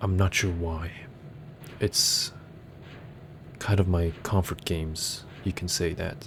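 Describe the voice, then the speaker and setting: A man with a very deep, low pitch speaks at a very slow pace, leaving long, frequent pauses. His voice is somewhat breathy, with fairly even intonation. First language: not English. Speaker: gaming YouTuber. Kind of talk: ASMR gameplay commentary. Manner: soft-spoken; halting.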